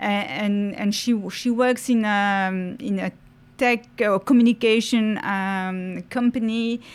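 A woman with a Mauritian accent talks very slowly at a fairly high pitch with fairly even intonation, on a very clean recording with a silent background. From Mauritius. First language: French. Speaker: university French teacher. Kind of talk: casual interview. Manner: hesitant, many fillers.

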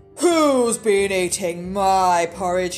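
A put-on character voice comes through gruff. Background noise is clearly audible. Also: woman, medium pitch for a woman.

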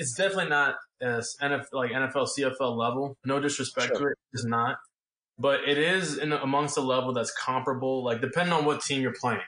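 In an American accent, the speaker moves at a moderate pace with a bright, sharp tone. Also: man. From US South. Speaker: football quarterback. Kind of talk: interview.

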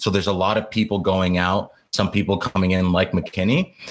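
With a normal speaking voice, a man talks at a fairly quick pace in a fairly low pitch, with ordinary pitch variation. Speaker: university student and soccer podcast co-host. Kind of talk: casual podcast chat.

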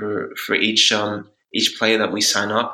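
A man with an Australian accent speaks at a moderate pace. His voice is fairly low in pitch with a bright, sharp tone. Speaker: startup founder. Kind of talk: interview.

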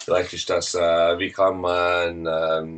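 A man speaks with a Swiss German accent over noticeable background noise. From Switzerland. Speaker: internet marketing expert. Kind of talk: interview. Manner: halting, many fillers; mixes German and English.

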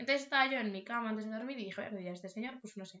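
Here a woman talks at a very fast pace. Her pitch is fairly high, with ordinary pitch variation. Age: 20s. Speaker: podcast co-host. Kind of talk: casual chat. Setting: at home.

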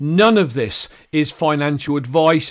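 In a very clean recording with a silent background, a man with a British accent speaks fairly slowly with ordinary pitch variation. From UK. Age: 60s. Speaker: crypto YouTuber. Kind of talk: live-stream commentary. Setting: home live stream. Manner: casual, filler-heavy.

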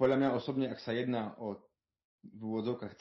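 A man talks at a moderate pace. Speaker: world traveller. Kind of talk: interview. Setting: remote call. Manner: hesitant, many fillers.

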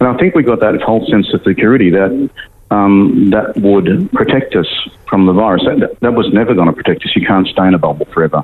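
The speech is very fast with lively intonation, set against noticeable background noise. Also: man, fairly low pitch for a man. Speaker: medical doctor. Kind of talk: interview. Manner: halting, many fillers.

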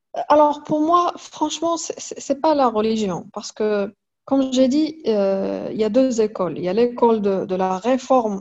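This woman has a fairly high pitch. She talks at a fairly slow pace. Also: lively intonation. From Morocco, Fès. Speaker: comic artist and illustrator. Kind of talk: interview. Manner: halting, many repetitions.

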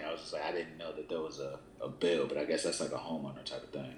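The background noise is noticeable. Over it, a man's speech goes very fast. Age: 30s. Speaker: podcast co-host. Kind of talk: casual chat.

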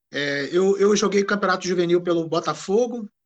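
A high male voice at a moderate pace, its pitch varying in an ordinary way. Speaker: amateur football historian and former player. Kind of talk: interview. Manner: halting.

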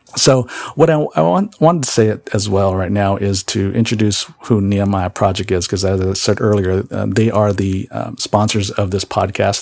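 A man with an American accent and fairly low pitch talks at a fairly quick pace with ordinary pitch variation. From San Jose, California. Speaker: podcast host. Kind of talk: podcast monologue. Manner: halting, many fillers.

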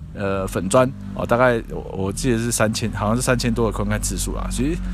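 Noticeable noise sits in the background. Pitch moves in an ordinary way. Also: man. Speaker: podcast host and harm-reduction advocate. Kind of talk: solo podcast commentary.

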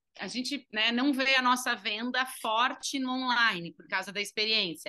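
In a southern Brazilian accent, a woman with a bright, sharp tone speaks at a moderate pace. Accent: southern Brazilian (gaúcho) Portuguese. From Uruguaiana, interior of Rio Grande do Sul, Brazil (Argentine border). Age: 30s. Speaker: entrepreneur, business co-founder. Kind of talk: interview.

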